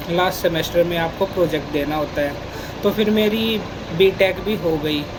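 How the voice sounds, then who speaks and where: Against noticeable background noise, a man talks in a high pitch. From Haryana, India (Rohtak area). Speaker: software engineer. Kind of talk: casual talk to camera.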